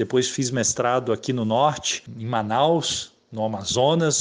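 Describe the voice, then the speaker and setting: A man with an ordinary speaking voice talks at a medium pitch with ordinary pitch variation against a quiet background. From Rio de Janeiro state countryside. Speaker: biologist and researcher. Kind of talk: interview.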